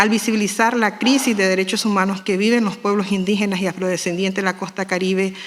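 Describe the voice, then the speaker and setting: Over noticeable background noise, a woman rattles off her words at a very fast pace in a monotone, flat delivery. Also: medium pitch for a woman, hardly any pauses. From Nicaragua Caribbean Coast, Miskito people. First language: Miskito (speaking Spanish). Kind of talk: formal speech at panel. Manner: formal.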